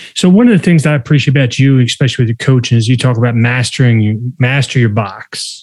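A normal speaking voice at a fairly quick pace with fairly even intonation, in a very clean recording with a silent background. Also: man. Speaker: podcast host and psychology expert. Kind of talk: casual interview conversation.

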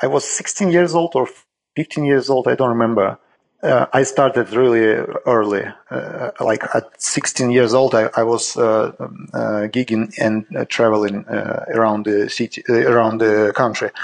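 The voice carries a Russian accent and ordinary pitch variation. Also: man, medium pitch for a man, fairly slow pace. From Saint Petersburg, Russia. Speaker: jazz drummer. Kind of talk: interview conversation. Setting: video call from Greece. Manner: halting, non-native English.

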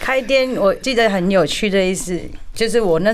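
Lively intonation comes at a fairly quick pace through audible room echo and noticeable background noise. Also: woman. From India, Kolkata Chinese community. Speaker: restaurant owner. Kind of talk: radio interview.

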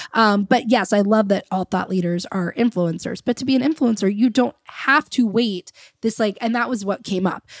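A woman with a normal speaking voice talks at a fairly high pitch and a moderate pace, with hardly any pauses and ordinary pitch variation. The recording is very clean and dry, close with no echo, against a silent background. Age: 30s. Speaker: podcast host and business coach. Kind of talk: casual interview chat. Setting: recording at the guest's house.

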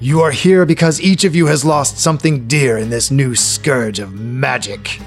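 A man's put-on character voice at medium pitch and moderate pace, with clear music in the background. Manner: sneering on the word magic.

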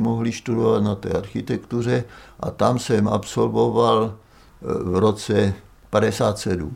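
This man speaks fairly slowly in a fairly low voice, with vocal fry. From central Moravia, Olomouc region. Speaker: architect and university teacher. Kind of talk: oral history testimony.

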